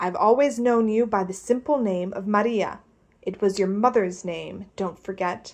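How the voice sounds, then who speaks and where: Using a put-on character voice, a woman speaks at a moderate pace in a shaky, medium-pitched voice with ordinary pitch variation. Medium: read story. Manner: gruff, domineering.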